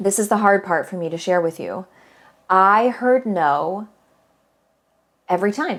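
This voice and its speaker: A woman with an American accent speaks in an animated tone at medium pitch. Her pace is moderate and her pitch varies in an ordinary way. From US Midwest. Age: 40s. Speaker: podcast host and voice teacher. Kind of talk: casual podcast monologue.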